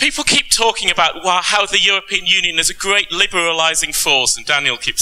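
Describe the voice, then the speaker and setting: A man with a British accent talks at a fairly quick pace in a high voice, with music playing in the background. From Britain. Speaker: panelist, tax law lecturer. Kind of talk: conference panel talk.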